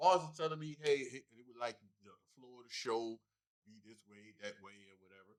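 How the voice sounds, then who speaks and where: A man with an unremarkable speaking voice talks at a moderate pace, using lively intonation and big swings in loudness. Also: fairly high pitch for a man. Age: 40s. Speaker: comedian. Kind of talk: casual chat.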